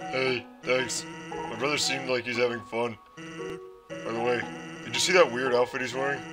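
A man's put-on character voice at a medium pitch, over clear music in the background. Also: moderate pace. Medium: role play. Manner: relaxed, casual.

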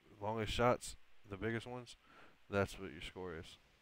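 The voice stays monotone and flat over noticeable background noise. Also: man. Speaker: gaming streamer. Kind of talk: gameplay commentary. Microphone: voice too quiet in-game.

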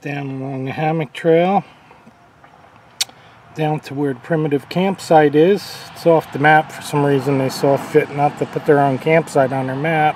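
At a moderate pace, a man speaks with fairly even intonation, the sound dry with no echo and light background noise behind him. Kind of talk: casual vlog chat. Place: open country. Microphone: phone near.

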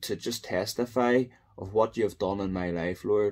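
This man has a dark, mellow tone. He talks at a fairly slow pace with ordinary pitch variation. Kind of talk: testimony and spoken prayer. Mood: earnest, prayerful. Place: home room. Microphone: phone near.

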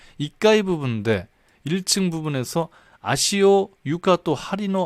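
A man speaks at a fairly slow pace with lively intonation. The recording is very clean, with a silent background and a dry, close sound with no echo. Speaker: Japanese-language news commentator. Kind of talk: tutorial. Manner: halting.

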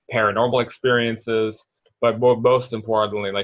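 A man talks at a moderate pace in a flat, monotone way. The background is quiet. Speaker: spiritual coach guest. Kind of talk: interview answer. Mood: thoughtful, earnest explaining. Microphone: video call.

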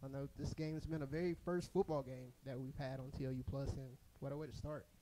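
Noticeable background noise accompanies a man speaking at a fairly quick pace. His fairly high voice has a dark, mellow tone and monotone, flat intonation. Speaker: athletics staff member; play-by-play commentator. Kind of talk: casual chat during broadcast; sports commentary. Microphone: headset.

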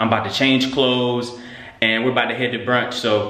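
Over light background noise, a man speaks in a flat monotone with audible room echo. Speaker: vlogger. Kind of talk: casual vlog chat. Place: gym. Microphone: phone near.

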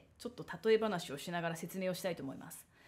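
A woman talks in a dark, mellow tone that is somewhat breathy. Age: 30s. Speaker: solo talk show host, former magazine editor; solo talk show host. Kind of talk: solo monologue talk. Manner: casual, chatty with many fillers. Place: home room. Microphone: studio mic.

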